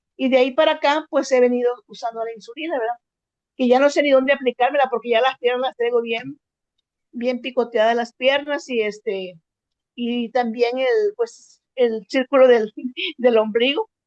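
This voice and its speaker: A woman speaks with a high pitch and ordinary pitch variation. The sound is dry and close, with no echo. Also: moderate pace. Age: 70s. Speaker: workshop participant. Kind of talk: testimony. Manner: halting.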